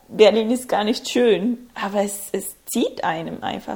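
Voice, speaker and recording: In a Spanish accent, a woman talks at a fairly slow pace. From Ecuador, small conservative town. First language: Spanish (speaking German). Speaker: student and international organization employee. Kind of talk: casual interview.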